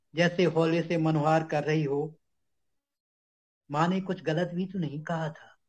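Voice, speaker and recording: Speaking in a monotone, flat way, a man with a fairly high pitch leaves long, frequent pauses. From Vidisha, Madhya Pradesh, India. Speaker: author reading own story. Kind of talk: short story reading.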